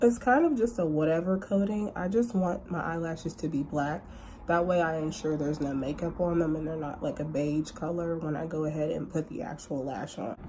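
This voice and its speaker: Dark and mellow, a woman's somewhat breathy voice sits fairly low. She shows ordinary pitch variation and hardly pauses. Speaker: lash brand owner and makeup tutorial creator. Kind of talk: makeup tutorial talk to camera. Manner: casual, chatty.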